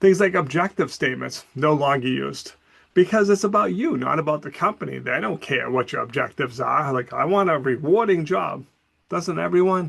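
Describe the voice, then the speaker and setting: Fairly high in pitch, a man speaks at a fairly quick pace with lively intonation. Vocal fry shows up in his voice. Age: 60s. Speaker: college professor. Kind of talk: recorded class announcement. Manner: casual, conversational.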